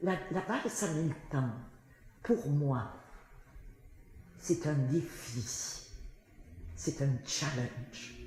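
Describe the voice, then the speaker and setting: A woman's very deep, low voice at a very slow pace, with lively intonation and long, frequent pauses over noticeable background noise. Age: 80s+. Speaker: singer. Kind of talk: interview answer.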